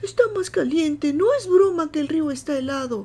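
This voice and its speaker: In a put-on character voice, a woman speaks at a high pitch and a moderate pace with a nervous tone, lively intonation and big swings in loudness. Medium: read story. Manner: nervous, fawning.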